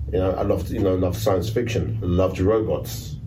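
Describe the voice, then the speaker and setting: A man with a London accent and a very deep, low pitch speaks with audible room echo. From London, Notting Hill. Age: 60s. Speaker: rave flyer artist. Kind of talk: casual interview. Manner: halting. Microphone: poor sound quality.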